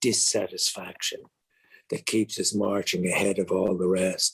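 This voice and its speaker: The speaker has an Irish accent and talks at a fairly slow pace. The sound is dry and close, with no echo. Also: man. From Ireland. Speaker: actor and author. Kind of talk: interview answer. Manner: reflective, hesitant.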